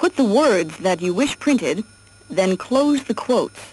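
A woman's fairly high pitch with very wide swings, fairly slow pace and a dry sound with no echo. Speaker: narrator of educational software. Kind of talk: 1979 instructional cassette narration, scripted. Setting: computer cassette audio track played through a tape recorder. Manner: formal, even-paced, clear and instructive; measured, step-by-step, impersonal. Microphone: old recording.

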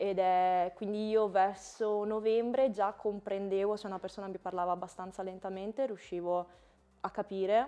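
A woman speaks at a moderate pace in a dark, mellow tone. Her intonation is monotone and flat. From Italy. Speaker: former exchange student; guest. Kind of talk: interview; interview answer. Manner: halting, many repetitions. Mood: relaxed, friendly. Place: studio. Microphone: lapel.

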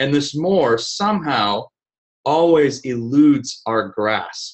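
A man with an American accent speaks at a very slow pace, his pitch fairly high. The background is quiet. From Vienna, Austria (American missionary family), then US. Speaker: speaker. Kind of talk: lecture. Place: office. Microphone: webcam.

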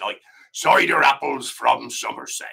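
A man puts on a raspy character voice and talks at a moderate speed. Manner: demonstrating an accent for a story.

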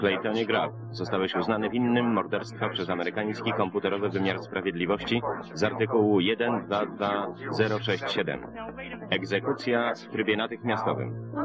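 Noticeable background noise sits behind a man's fairly low voice. He talks at a moderate pace with ordinary pitch variation. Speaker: film voice-over reader. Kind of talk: single-voice film voice-over translation.

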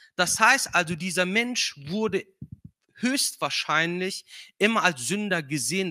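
Against a quiet background, a man speaks with a non-native accent at a high pitch for a man, his tone bright and sharp. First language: not German (speaking German). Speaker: guest preacher; preacher. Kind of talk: sermon. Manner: hesitant with filler sounds. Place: church. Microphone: handheld.

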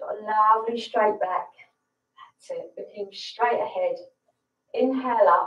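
A woman talks at a fairly slow pace with long, frequent pauses. The background is quiet, though audible room echo is present. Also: fairly even intonation. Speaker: yoga instructor. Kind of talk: guided yoga class, calm step-by-step instructions. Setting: livestream to online audience. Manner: calm, slow, soothing cueing; slightly nervous, friendly, chatty. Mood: calm, soothing. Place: home room. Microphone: camera far.

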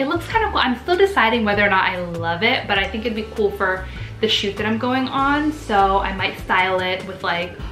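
A woman's voice with audible room echo and faint music in the background. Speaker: vlogger. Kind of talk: casual vlog chat. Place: home room. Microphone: camera far.

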